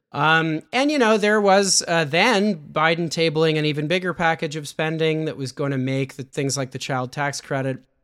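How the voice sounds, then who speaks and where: The recording is very clean, with a silent background. It is an ordinary speaking voice with a Canadian accent, ordinary pitch variation and a moderate pace. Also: man. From Canada. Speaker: political journalist and author. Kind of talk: casual interview.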